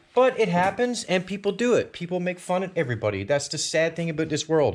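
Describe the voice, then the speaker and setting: A man speaks with a high pitch. His intonation is lively. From Newfoundland, Canada. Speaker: DIY auto body video maker. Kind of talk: tutorial; casual chat. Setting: home garage.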